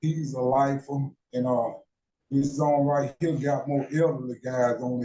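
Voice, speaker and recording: With an American accent, a man speaks at a moderate pace in a fairly high pitch with monotone, flat intonation. His voice is somewhat breathy with a dark, mellow tone. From US South, Mississippi. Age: 60s. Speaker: prison inmate. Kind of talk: casual chat. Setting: prison cell.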